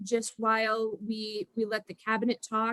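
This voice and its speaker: A woman with a Minnesotan accent talks at a fairly slow pace in a high pitch, the sound dry and close with no echo. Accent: Minnesota. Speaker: reunion moderator, alumni volunteer. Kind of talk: video call moderation. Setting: video call.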